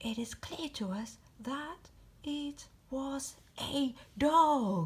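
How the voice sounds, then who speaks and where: A woman's put-on character voice, high in pitch, with lively intonation, a very slow pace and long, frequent pauses. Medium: read story.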